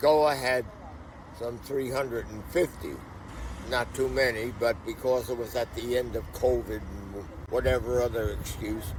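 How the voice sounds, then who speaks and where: A man at a medium pitch and moderate pace, fairly even in intonation, with noticeable background noise. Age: 80s+. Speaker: veteran hash runner interviewed. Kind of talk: casual interview chat. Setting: on location in Portugal, sunny.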